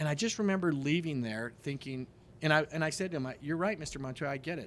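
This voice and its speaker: A man with an American accent talks at a very fast pace. His pitch is fairly high, with ordinary pitch variation. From Denver, Colorado. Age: 50s. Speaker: real estate investor. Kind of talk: casual interview chat.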